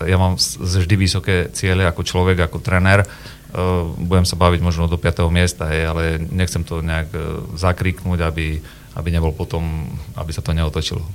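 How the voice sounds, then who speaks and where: Very deep, low male voice over noticeable background noise, moderate in pace and fairly even in intonation. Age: 40s. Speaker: football coach. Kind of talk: radio interview. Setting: radio studio.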